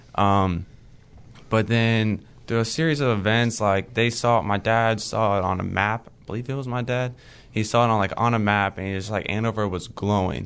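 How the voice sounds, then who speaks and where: A man speaks in a fairly low pitch at a moderate pace. His intonation is fairly even, an unremarkable speaking voice. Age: young. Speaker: Bible college student. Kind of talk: casual interview.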